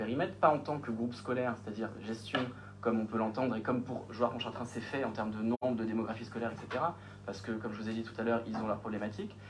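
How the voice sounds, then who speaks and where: Very fast pace with audible room echo and noticeable background noise. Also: man. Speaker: municipal official presenting a project. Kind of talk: council meeting answer to questions. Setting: municipal council meeting. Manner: hesitant, many fillers.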